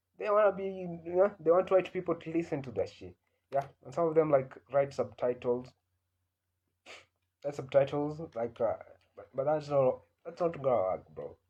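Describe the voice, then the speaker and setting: With an East African accent, a man speaks at a moderate pace in a fairly high, dark and mellow voice, using ordinary pitch variation, big shifts in loudness, and long, frequent pauses. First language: Swahili. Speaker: comedian. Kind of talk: casual monologue. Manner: halting, many fillers.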